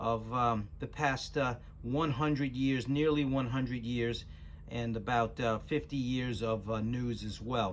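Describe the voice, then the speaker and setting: A man speaks at a medium pitch and a fairly slow pace. His voice is somewhat breathy. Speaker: channel host introducing a radio rebroadcast. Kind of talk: casual talk to camera.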